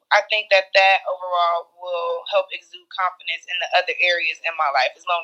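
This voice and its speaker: A woman at a moderate pace, hardly any pauses, big swings in loudness. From Cleveland, Ohio (inner city). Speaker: podcast co-host. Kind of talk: casual chat. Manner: animated.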